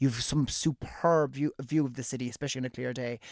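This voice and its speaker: Speaking at a very fast pace, a man holds a medium pitch. His intonation is fairly even. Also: dry, close sound with no echo. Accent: Irish. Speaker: radio co-host. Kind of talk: casual chat. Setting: radio studio.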